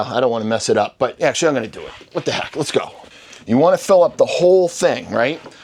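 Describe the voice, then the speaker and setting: Very fast speech in a Boston accent, with noticeable background noise. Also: man. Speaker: real estate investing instructor.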